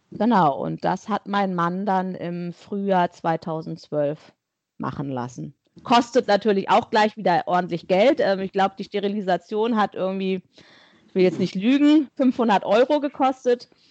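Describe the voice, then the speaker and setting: A woman speaks in an ordinary speaking voice, medium in pitch, with lively intonation at a fairly slow pace. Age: 40s. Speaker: guest sharing infertility story. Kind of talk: interview testimony.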